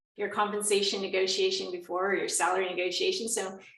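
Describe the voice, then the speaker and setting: A woman's voice with audible room echo. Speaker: workshop facilitator. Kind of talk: online workshop presentation. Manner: fast.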